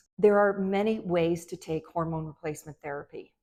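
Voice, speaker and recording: A woman's fairly low, dark, mellow voice at a moderate pace, with fairly even intonation. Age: 60s. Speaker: physician. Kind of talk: medical advice talk to camera.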